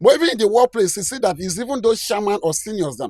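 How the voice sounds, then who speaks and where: In a Nigerian accent, the speech comes at a very fast pace, with a dry, close sound with no echo in a very clean recording against a silent background. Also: man. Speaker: commentator. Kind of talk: video commentary.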